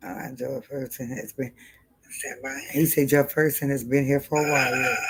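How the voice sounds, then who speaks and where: A woman talks at a fairly quick pace with a very deep, low pitch. Her loudness swings widely. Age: 50s. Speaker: livestream host. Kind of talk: casual livestream chat. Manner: animated.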